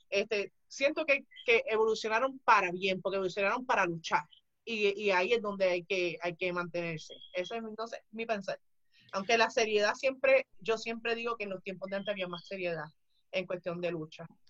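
A woman speaks in a normal speaking voice at a medium pitch. Her pace is fairly quick, with ordinary pitch variation. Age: 30s. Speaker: retired pro wrestler. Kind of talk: casual interview.

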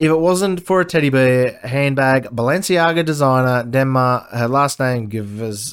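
In a very clean recording with a silent background, a man with an Australian accent speaks at a medium pitch with lively intonation. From Queensland, Australia. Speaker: podcast host. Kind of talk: news commentary. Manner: casual; sarcastic, profane.

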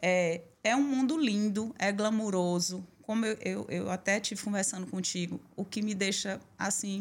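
A woman at a fairly slow pace with an ordinary speaking voice, medium pitch and hardly any pauses. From Bahia interior, Brazil. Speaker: salon owner and union president. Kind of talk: interview testimony.

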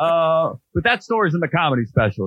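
A man with an American accent and a normal speaking voice, talking at a fairly quick pace with lively intonation. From North Georgia, US South. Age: 30s. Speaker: stand-up comedian and podcast host. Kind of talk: casual interview chat. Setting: video call. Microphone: phone-like Zoom audio.

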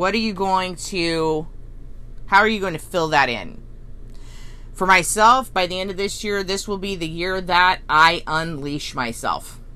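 Loud and bright with a sharp tone, a woman at medium pitch speaks at a fairly slow pace with ordinary pitch variation and audible room echo. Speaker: spiritual healing podcast host. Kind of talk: guided self-reflection talk.

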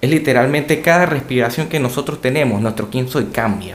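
The pace here is fairly quick. It is an ordinary speaking voice. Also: man. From Latin America. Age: 20s. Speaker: doctor and podcast co-host. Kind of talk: casual chat.

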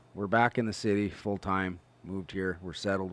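Fairly low in pitch, a man uses a plain, everyday voice with fairly even intonation. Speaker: co-host. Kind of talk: casual chat about golf.

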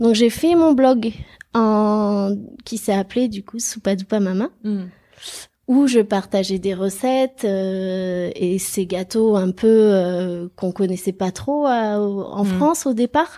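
The tone is dark and mellow, with ordinary pitch variation at a very slow pace. It is a very clean recording with a silent background. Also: woman, medium pitch for a woman. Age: 30s. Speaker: self-employed pastry chef. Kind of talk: casual interview.

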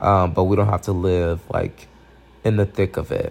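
With a dark, mellow tone and fairly low pitch, a man talks at a moderate pace. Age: 20s. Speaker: podcast host. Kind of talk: casual Q&A monologue. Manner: casual with frequent fillers.

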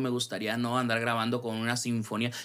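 On a very clean recording with a silent background, a man talks at a fairly quick pace with a northern Mexican accent. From Mexico, Sonora (Ciudad Obregón). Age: 20s. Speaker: singer-songwriter and music producer. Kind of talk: casual interview.

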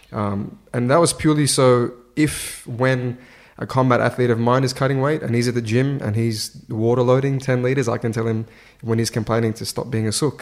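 A man with an Australian accent talks at a fairly quick pace, his medium pitch carried by fairly even intonation. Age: 20s. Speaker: strength and conditioning coach. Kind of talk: casual interview. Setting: in person, at fight-week venue.

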